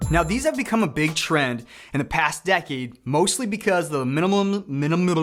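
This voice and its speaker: Over noticeable background noise, the speaker talks at a fairly quick pace with lively intonation and very even loudness. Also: man, high pitch for a man. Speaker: real estate investment youtuber. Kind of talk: ranked explainer video. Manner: stumbles over words.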